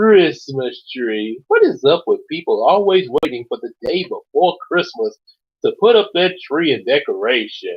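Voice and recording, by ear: The background stays quiet. A natural voice reads a text aloud.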